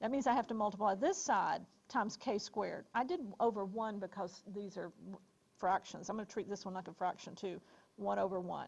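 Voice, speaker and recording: A woman with an American accent, a normal speaking voice, medium pitch, ordinary pitch variation and a fairly quick pace. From US South, Alabama. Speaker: college statistics teacher. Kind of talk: classroom lecture.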